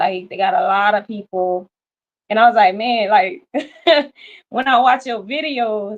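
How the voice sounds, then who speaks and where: With a Louisiana accent, a woman talks at a fairly slow pace in a fairly high voice, using lively intonation and long, frequent pauses. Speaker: caller. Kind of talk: casual chat.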